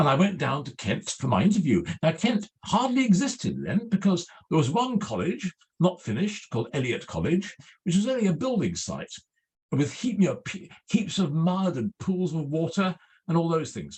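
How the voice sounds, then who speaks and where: In an English accent, a man speaks at a moderate pace in a high pitch with very wide pitch swings. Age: 70s. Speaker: literary scholar. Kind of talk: talk. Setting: video call.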